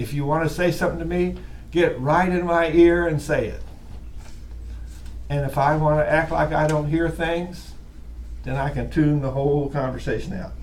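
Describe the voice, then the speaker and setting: In an American accent, a man speaks at a moderate pace. His pitch is fairly high, and room echo is audible. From US Midwest (Wisconsin). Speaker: college instructor. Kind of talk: lecture. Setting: classroom with online students. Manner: loud.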